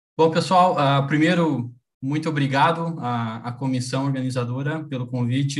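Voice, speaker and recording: Over a quiet background, the somewhat breathy voice keeps a fairly even intonation. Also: man. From Brazil. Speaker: university professor. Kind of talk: lecture. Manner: halting. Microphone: video call.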